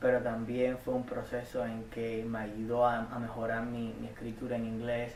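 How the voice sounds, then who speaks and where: A man speaks at a fairly slow pace. Audible room echo and noticeable background noise surround him. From Cuba, Havana. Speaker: community college student. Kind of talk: interview testimony. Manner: halting, many repetitions and fillers.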